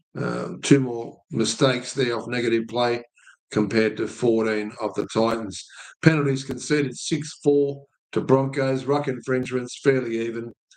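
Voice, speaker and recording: A man's medium-pitched voice with an Australian accent, fairly even intonation and a moderate pace. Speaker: sports betting tipster host. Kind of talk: sports stats review monologue. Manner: halting, many fillers.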